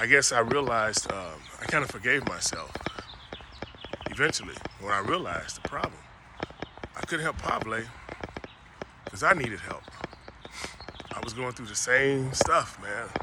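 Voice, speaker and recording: A man's speech with big swings in loudness and long, frequent pauses over noticeable background noise. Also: medium pitch for a man, moderate pace. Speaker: former Olympic bobsledder and CTE advocate. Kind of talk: personal video monologue. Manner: halting, repetitive.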